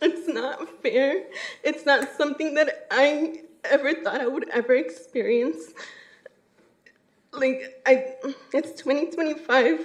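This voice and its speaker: A high-pitched woman's voice with lively intonation, a very slow pace, long and frequent pauses, and audible room echo. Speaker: public commenter, city employee. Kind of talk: public comment at council meeting. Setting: city council chamber.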